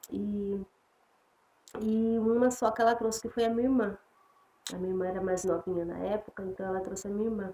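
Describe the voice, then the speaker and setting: With a dark, mellow tone, a woman speaks fairly quickly and with fairly even intonation, leaving long, frequent pauses. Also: medium pitch for a woman. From São Paulo, Brazil (born in Piauí, moved at 6-7). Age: 40s. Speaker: evangelical churchgoer giving testimony. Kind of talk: religious testimony. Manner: halting, many fillers and restarts.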